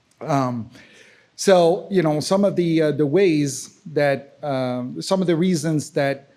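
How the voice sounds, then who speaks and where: A man with a French accent and a fairly high pitch has a dark, mellow tone, recorded very cleanly with a silent background. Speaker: accessibility specialist and software engineer. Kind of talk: conference talk. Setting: conference session with audience. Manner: halting, many fillers.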